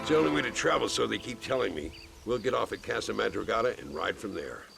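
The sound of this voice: A put-on character voice at a fast pace, fairly bright in tone, with vocal fry, lively intonation and faint background noise. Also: man, fairly low pitch for a man.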